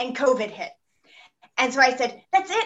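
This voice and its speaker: A woman's high, raised and projected voice with an American accent, a bright, sharp tone and lively intonation. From Texas. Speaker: senior home medical care company representative. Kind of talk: podcast interview.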